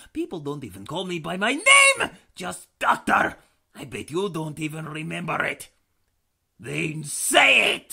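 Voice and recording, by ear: At a fairly slow speed, the speaker performs a put-on character voice.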